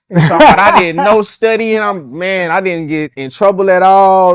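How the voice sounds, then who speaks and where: A man speaks with a Louisiana accent at a moderate pace. His pitch is high and his intonation lively. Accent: Southern US, Louisiana. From Baton Rouge, Louisiana. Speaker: rapper, independent artist. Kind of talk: interview answer. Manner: casual, conversational.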